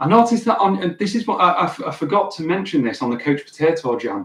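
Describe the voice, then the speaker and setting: Here is a man with a Lancashire accent. His pitch sits fairly high. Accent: Wigan accent, stands out in Sheffield. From northern England, Wigan. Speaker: guitar teacher and livestreamer. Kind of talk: casual live stream chat. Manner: halting, many fillers and repeats.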